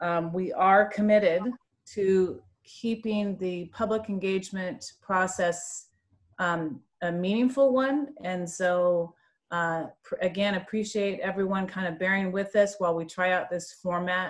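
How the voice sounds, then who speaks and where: A woman talks at a fairly slow pace in a plain, everyday voice, her pitch medium. Her intonation stays fairly even over a quiet background. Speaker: state agency official. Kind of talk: formal welcome speech. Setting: conference call. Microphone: video call.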